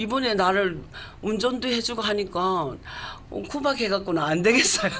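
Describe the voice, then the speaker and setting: Speech comes at a moderate pace with ordinary pitch variation. Noticeable background noise runs underneath. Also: woman, medium pitch for a woman. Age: 70s. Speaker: YouTuber. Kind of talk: radio interview answer.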